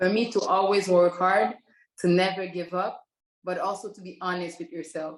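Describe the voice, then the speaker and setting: Woman at a fairly quick pace, medium pitch, in a Quebec accent. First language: French. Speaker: professional basketball player. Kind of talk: interview.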